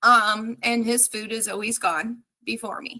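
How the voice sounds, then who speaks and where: With an American accent, a woman talks at a fairly slow pace in a fairly high pitch with a bright, sharp tone. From New Jersey. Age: 30s. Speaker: cybersecurity company CEO. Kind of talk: casual chat.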